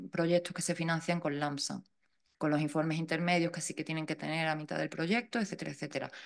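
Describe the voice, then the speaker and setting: A woman speaks with a Seville accent. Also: quiet background. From Andalusia, Seville. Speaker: funding expert speaker. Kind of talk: lecture; Q&A answer. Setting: talk with live audience and online viewers. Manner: informal, self-correcting.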